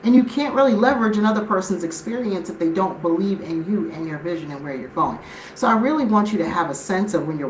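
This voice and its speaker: Talking very fast with hardly any pauses, a woman with an American accent sounds animated, her medium-pitched voice making very wide pitch swings. The recording has audible room echo and noticeable background noise. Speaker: life and business coach. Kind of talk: live stream motivational talk. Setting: live stream.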